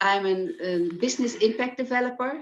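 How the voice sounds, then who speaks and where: A woman with a Dutch accent speaks with ordinary pitch variation. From Netherlands. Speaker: business impact developer, volunteer. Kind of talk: self-introduction on video call. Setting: video call.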